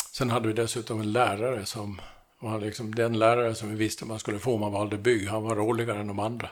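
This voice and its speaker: Very fast, monotone speech with flat intonation, plus audible room echo and noticeable background noise. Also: man, fairly low pitch for a man. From Sweden, Gotland. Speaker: construction industry consultant. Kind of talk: interview.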